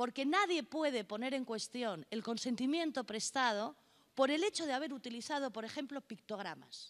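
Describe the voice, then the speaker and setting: The woman's pitch is high. She talks with lively intonation. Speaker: notary, conference speaker. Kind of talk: conference lecture. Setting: conference hall with interpreters. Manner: fast.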